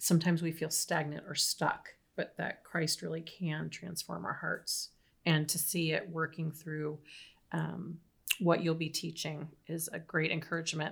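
A woman with a fairly low pitch speaks in a bright, sharp tone with vocal fry. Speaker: church podcast host. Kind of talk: casual interview chat. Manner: a bit nervous.

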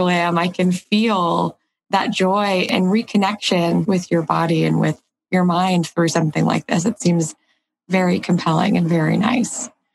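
In a plain, everyday voice, a woman speaks at a moderate pace and medium pitch, with ordinary pitch variation and very even loudness. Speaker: podcast co-host, arthritis patient advocate. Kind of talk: interview.

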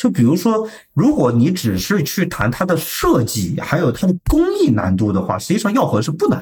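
At a moderate pace, a man speaks with hardly any pauses and very even loudness. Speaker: sales at a pharmaceutical packaging printing company. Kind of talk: casual interview. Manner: formal.

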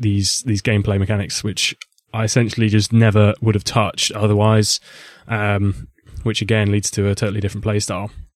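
Talking at a fairly quick pace, a man with a fairly low pitch and an unremarkable speaking voice is heard in a dry, close sound with no echo. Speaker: podcast co-host guest. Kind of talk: casual chat.

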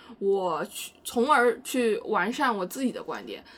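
A woman's voice sits fairly high. Its pitch moves in an ordinary way. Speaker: podcast co-host. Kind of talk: casual chat.

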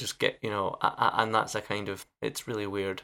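Fairly low in pitch, a man talks at a fairly quick pace in an unremarkable speaking voice. The recording is very clean with a silent background. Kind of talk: casual chat.

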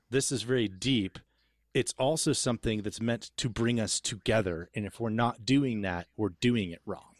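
In an ordinary speaking voice, a man of medium pitch talks at a moderate pace with ordinary pitch variation, his sound dry and close with no echo against a quiet background. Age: 40s. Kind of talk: theological discussion.

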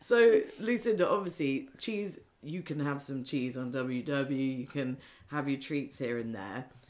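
Speaking at a fairly slow pace, a woman uses a very deep, low pitch with very wide pitch swings. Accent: British. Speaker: podcast host. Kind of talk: casual interview.

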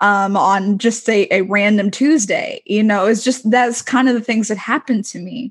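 At a moderate pace with hardly any pauses, a woman speaks somewhat breathily at a fairly high pitch with ordinary pitch variation. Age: 20s. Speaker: student. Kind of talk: casual chat.

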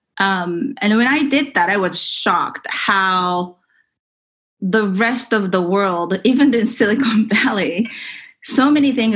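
A woman's medium-pitched voice with a Japanese accent, fairly slow in pace, lively in intonation and very even in loudness. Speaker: tech entrepreneur. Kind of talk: interview.

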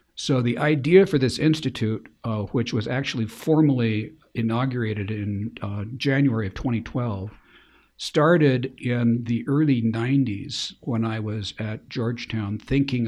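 A man's plain, everyday voice at medium pitch and moderate pace, with ordinary pitch variation, on a very clean recording with a silent background. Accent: American. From Spokane, Washington, US Pacific Northwest. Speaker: Jesuit priest. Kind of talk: interview.

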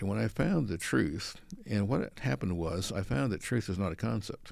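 Speaking with an American accent at a fairly quick pace, a man uses a very deep, low pitch with vocal fry and very wide pitch swings. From San Francisco Bay Area, US. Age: 70s. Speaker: creation science speaker, apologist. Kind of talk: interview conversation.

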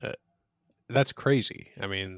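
A man is heard in a dry, close sound with no echo. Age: 40s. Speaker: podcast co-host. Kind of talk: casual discussion of a book; scripted biographical reading.

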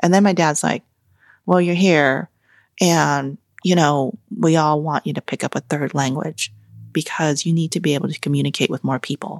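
On a very clean recording with a silent background and a dry, close sound with no echo, a woman with an American accent speaks at a moderate pace and a very deep, low pitch. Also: ordinary pitch variation. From Vietnam, raised in the US as a refugee. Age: 40s. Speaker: cookbook author. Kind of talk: interview conversation. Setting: host's home kitchen.

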